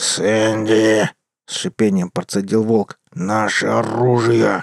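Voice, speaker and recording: This man puts on a character voice at a medium pitch, with a hissing quality. He talks at a fairly slow pace. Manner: hissing through teeth.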